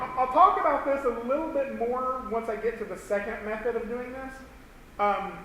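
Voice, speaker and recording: Speaking in a raised, projected voice with a Southern US accent, a man with an extremely high pitch talks at a moderate pace with ordinary pitch variation, amid audible room echo and noticeable background noise. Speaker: animation instructor. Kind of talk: tutorial. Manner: halting.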